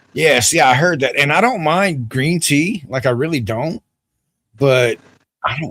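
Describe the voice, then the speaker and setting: A man in a Southern US accent, with vocal fry and a fairly slow pace, in a dry, close sound with no echo. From US South. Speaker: livestream host. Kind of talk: casual chat.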